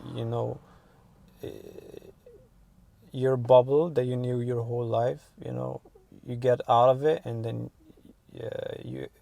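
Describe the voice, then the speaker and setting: Over noticeable background noise, the speech moves at a fairly slow pace with long, frequent pauses and big swings in loudness. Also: man. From Morocco. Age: 20s. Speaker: international student interviewee. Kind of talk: interview. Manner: hesitant, many fillers.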